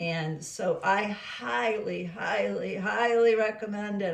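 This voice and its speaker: A woman's somewhat breathy voice with lively intonation and audible room echo. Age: 70s. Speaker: lifestyle vlogger. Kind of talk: casual vlog monologue.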